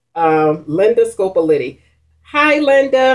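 A woman at a very slow pace, with very wide pitch swings against a quiet background. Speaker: mukbang vlogger. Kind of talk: casual vlog chat. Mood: warm, cheerful. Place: home room. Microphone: webcam.

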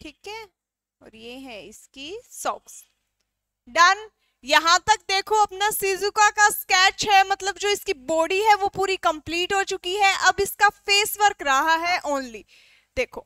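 A woman speaks very slowly in a raised, projected voice with a bright, sharp tone, ordinary pitch variation and big swings in loudness. The sound is dry with no echo, against a quiet background. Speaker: drawing teacher. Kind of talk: tutorial. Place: studio. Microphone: headset.

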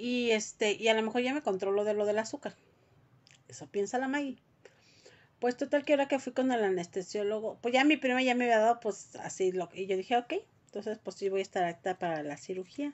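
Speaking with a Mexican accent, a woman talks at a fairly quick pace and a fairly high pitch. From Mexico. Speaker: vlogger. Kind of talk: casual chat. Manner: animated. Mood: worried, expressive. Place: home room. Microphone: phone near.

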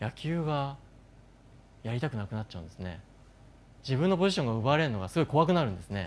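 A man talks at a very fast pace with very wide pitch swings, broken up by long, frequent pauses. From Japan. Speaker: neuroscientist and company founder; speaker. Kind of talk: stage talk. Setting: stage with audience. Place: stage. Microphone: lapel.

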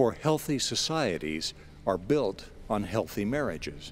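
With music in the background, a man speaks in a warm, calm tone at a fairly slow pace. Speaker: radio broadcast announcer / inspirational spoken-word host. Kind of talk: inspirational spoken-word message. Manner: warm, calm, measured.

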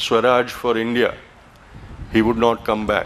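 Monotone, flat intonation from a man at a moderate pace over light background noise. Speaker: event host giving welcome. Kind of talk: formal welcome speech. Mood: solemn, reflective. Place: garden. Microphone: podium.

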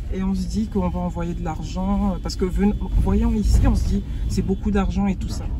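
A man's voice, dry and without echo, over noticeable background noise. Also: moderate pace. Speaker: travel vlogger. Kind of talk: casual conversation. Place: car. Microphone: phone near.

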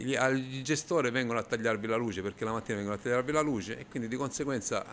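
Over light background noise, a man talks at a very fast pace with a medium pitch. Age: 50s. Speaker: business owner, baker. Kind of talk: street interview. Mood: angry, frustrated. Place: shop. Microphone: handheld.

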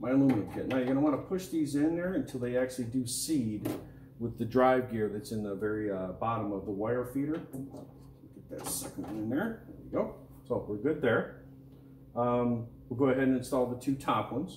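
Noticeable background noise runs under a man speaking at a fairly quick pace with ordinary pitch variation. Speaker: equipment product demonstrator. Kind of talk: tutorial. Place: workshop.

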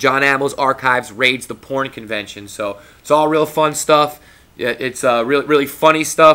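His pitch shifts in an ordinary way. The man keeps a moderate pace. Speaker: video blogger; wrestling vlogger. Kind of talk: casual vlog monologue. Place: home room. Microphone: webcam.

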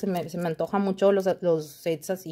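At a fairly slow pace, a woman speaks in a dark, mellow tone. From Mexico. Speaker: nail art youtuber. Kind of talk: unboxing video. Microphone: phone near.

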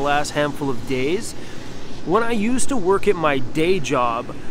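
The recording of this man is dry with no echo, though noticeable background noise is present. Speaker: vanlife vlogger. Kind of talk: casual vlog chat. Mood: relaxed, cheerful. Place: street. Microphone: phone near.

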